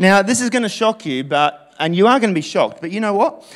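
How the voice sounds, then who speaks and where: Very fast and high-pitched, a man with an Australian accent talks with very wide pitch swings. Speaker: pastor. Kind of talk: sermon. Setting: church. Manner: animated.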